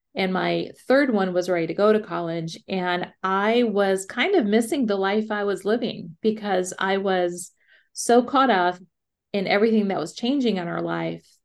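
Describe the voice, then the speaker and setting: An ordinary speaking voice from a woman at medium pitch, with ordinary pitch variation, a moderate pace, and a quiet background. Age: 50s. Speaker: podcast co-host. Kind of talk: casual chat.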